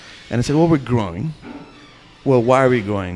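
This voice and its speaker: Music plays in the background as a man speaks in a medium pitch with ordinary pitch variation. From India. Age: 40s. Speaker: restaurant owner and chef. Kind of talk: interview.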